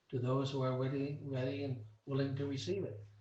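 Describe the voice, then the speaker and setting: A man talks at a moderate pace with audible room echo. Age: 80s+. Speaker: mental health consultant. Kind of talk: round table discussion.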